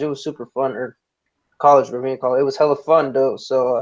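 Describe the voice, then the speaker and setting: A fairly high-pitched man talking at a very fast pace. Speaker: podcast guest. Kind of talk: casual chat.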